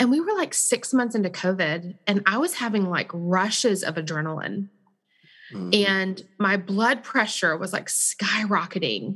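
An American-accented woman speaks in an ordinary speaking voice at a medium pitch. Her pace is fairly slow, and the background is quiet. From Texas. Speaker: parenting organization staff. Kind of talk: interview.

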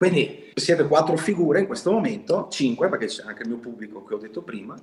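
With a fairly high pitch and very wide swings in it, a man talks in a somewhat breathy voice. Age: 30s. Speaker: electrician and business owner. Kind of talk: interview.

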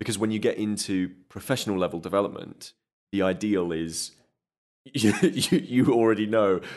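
A normal speaking voice at a moderate pace. Its pitch varies in an ordinary way. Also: man, fairly low pitch for a man. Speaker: game creative producer, guest. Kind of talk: interview, casual chat.

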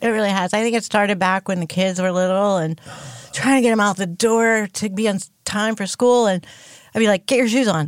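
With an ordinary speaking voice, a woman talks at a fairly quick pace and a medium pitch, her intonation fairly even. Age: 60s. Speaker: pastor's wife. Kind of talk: casual chat.

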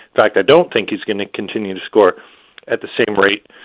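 A man with lively intonation. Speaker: hockey journalist. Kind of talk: casual sports analysis chat.

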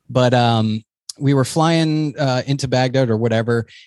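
A man with an American accent and a normal speaking voice talks with ordinary pitch variation, his sound dry and close with no echo against a quiet background. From New Hampshire, US. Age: 40s. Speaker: air force veteran and physician assistant. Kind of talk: casual interview chat.

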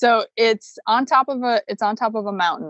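With an American accent, a woman uses a plain, everyday voice at a moderate pace and ordinary pitch variation. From US Midwest, Chicago. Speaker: veterinarian and homesteader. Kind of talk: casual interview.

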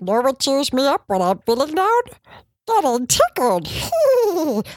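A put-on character voice, high in pitch, with very wide pitch swings and a fairly slow pace. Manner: goofy, tickled.

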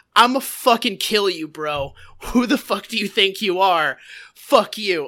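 Using a put-on character voice, a woman speaks at a fairly slow pace. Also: medium pitch for a woman. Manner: aggressive, threatening.

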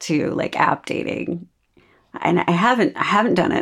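Vocal fry runs through a woman's voice at medium pitch. She keeps a moderate pace. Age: 40s. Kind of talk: casual chat.

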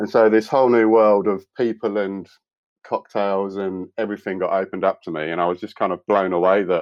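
A man with a British accent speaks at a fairly low pitch. His pace is fairly quick. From UK. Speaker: designer and cocktail author. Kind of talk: casual interview.

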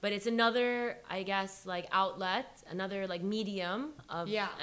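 A woman with a medium-pitched voice and ordinary pitch variation has an unremarkable speaking voice. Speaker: podcast guest. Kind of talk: casual chat.

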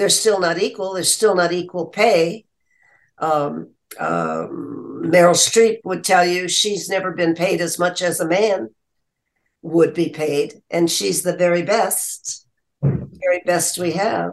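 Her pitch is fairly low, with vocal fry and fairly even intonation. The woman speaks at a very slow pace. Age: 90s. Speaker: actress. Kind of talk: interview.

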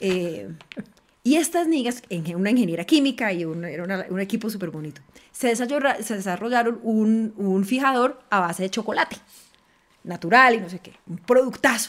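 A woman talks in a plain, everyday voice, fairly high and fairly slow. Her intonation is lively, with big swings in loudness. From Colombia, Valle del Cauca (Cali). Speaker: politician, congresswoman. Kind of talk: panel conversation.

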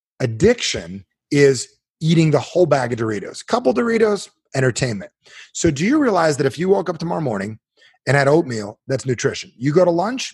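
Over a quiet background, a man with an American accent speaks in an animated tone at a fairly high pitch, somewhat breathy, his pitch swinging very widely. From New Jersey. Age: 40s. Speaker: self-help author. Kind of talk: interview guest, coaching talk.

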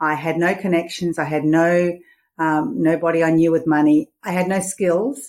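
On a very clean recording with a silent background, a woman with an Australian accent speaks at a moderate pace in a fairly low voice with ordinary pitch variation. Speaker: money mindset coach and author. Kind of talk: interview. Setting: podcast interview.

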